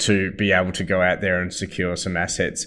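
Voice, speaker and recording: A man with an Australian accent at a fairly quick pace, over a quiet background. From Perth, Western Australia. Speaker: property investment company founder and CEO. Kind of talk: webinar Q&A presentation.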